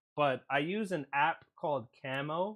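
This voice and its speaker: Against a quiet background, a man with a fairly high pitch and ordinary pitch variation speaks in an ordinary speaking voice. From Puerto Rican, United States. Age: 30s. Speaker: gaming streamer. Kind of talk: live gameplay stream chat. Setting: live stream, camera off.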